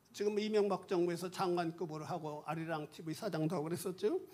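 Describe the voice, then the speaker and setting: Fairly even intonation from a man with a high voice. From South Korea, rural village. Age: 70s. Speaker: retired pastor. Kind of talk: testimony.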